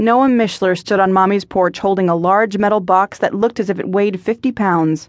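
A woman of medium pitch speaks at a fairly quick pace in an unremarkable speaking voice, with a quiet background. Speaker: audiobook narrator. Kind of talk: scripted audiobook narration of a romance novel, with character voices.

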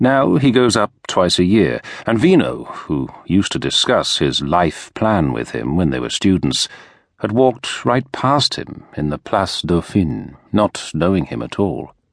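Speaking with a British accent at a fairly slow pace, this voice takes on a dramatic tone with very wide pitch swings and vocal fry over a quiet background. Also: man, very deep, low pitch for a man. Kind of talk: audiobook narration of a historical novel. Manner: measured, dramatic, storytelling tone with dry irony.

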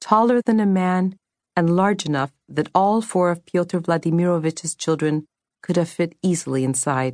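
A woman's plain, everyday voice, fairly low in pitch, with a dry, close sound and no echo. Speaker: audiobook narrator. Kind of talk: dramatic audiobook narration of a fantasy novel. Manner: storytelling, shifting into character voices for dialogue; measured, atmospheric, expressive.

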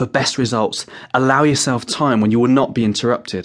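Fairly quickly and at a medium pitch, a man talks in an unremarkable speaking voice. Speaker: hypnotherapist audiobook narrator. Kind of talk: guided meditation. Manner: gentle, soft-spoken.

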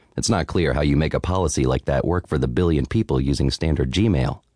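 A man talks at a fairly quick pace with a dark, mellow tone and vocal fry. The sound is dry and close with no echo. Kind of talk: audiobook narration of a tech article, read aloud. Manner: steady, clear, measured reading; formal, even, informative.

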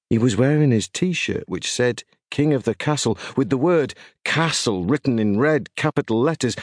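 A man with a British accent speaks at a fairly high pitch and a moderate pace, with lively intonation and very even loudness. The sound is dry and close with no echo, against a quiet background. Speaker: audiobook narrator. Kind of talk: audiobook narration in the voice of an eleven-year-old boy, ghost story.

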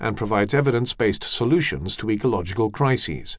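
Vocal fry runs through a man's fairly quick speech with lively intonation. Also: quiet background. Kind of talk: audiobook narration, scripted reading aloud of nonfiction. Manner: measured, even and steady, formal literary delivery.

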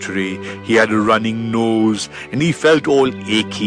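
Ordinary pitch movement in an unforced reading voice.

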